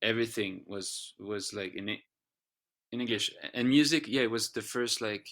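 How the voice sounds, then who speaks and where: In a very clean recording with a silent background, a man with a French accent speaks at a moderate pace. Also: medium pitch for a man, ordinary pitch variation. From France. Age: 30s. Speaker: singer-songwriter. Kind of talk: podcast interview. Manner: halting, many restarts and repeats.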